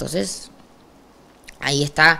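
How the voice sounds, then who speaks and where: A woman with a Rioplatense accent speaks fairly slowly in a very deep, low pitch with a bright, sharp tone. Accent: Argentine Rioplatense Spanish. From Argentina, Rosario; Argentina. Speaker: trap artist; interviewee. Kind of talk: interview, casual chat; interview answer. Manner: animated. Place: studio.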